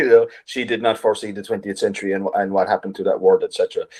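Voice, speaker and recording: Very fast male speech with an Irish accent. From Ireland. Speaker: writer. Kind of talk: interview. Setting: video call.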